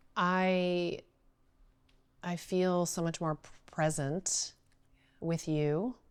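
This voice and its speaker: In a very clean recording with a silent background, a woman with a fairly low pitch speaks at a very slow pace, with fairly even intonation, big swings in loudness, and long, frequent pauses. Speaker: entrepreneur. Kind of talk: coaching conversation. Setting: in-person recording. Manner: lower pitch when speaking with power.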